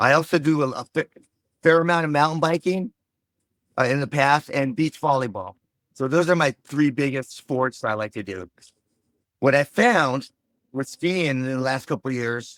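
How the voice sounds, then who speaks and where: In an American accent, a man with a fairly high pitch talks at a moderate pace with ordinary pitch variation and long, frequent pauses, the sound dry and close with no echo. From Los Angeles, California. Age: 60s. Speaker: mushroom cultivator, recovering addict. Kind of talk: interview answer.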